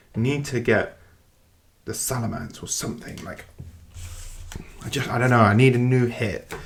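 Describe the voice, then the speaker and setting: Someone with a British accent speaks in an excited tone. The pace is moderate. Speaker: card pack opener. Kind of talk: casual talk to camera.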